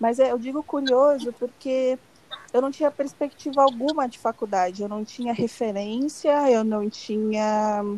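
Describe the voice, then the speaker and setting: A woman's high-pitched voice, dark and mellow in tone, at a fairly slow pace with ordinary pitch variation. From São Bernardo do Campo, Greater São Paulo, Brazil. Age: 20s. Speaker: marketing professional. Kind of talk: casual chat.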